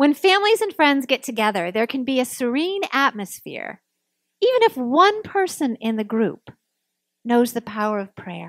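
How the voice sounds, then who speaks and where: Fairly slow speech broken by long, frequent pauses, with a dry sound and no echo. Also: woman, quiet background. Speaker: minister. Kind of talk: sermon. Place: church. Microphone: podium.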